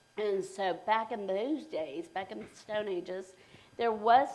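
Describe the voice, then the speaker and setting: Ordinary pitch variation runs through this fairly slow delivery. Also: woman. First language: Spanish. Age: 50s. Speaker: realtor. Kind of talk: interview. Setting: live stream.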